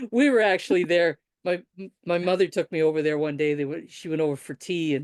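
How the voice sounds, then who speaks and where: An unremarkable speaking voice goes at a fairly quick pace with ordinary pitch variation. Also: woman, fairly low pitch for a woman. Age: 60s. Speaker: writer and podcaster. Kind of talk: interview conversation.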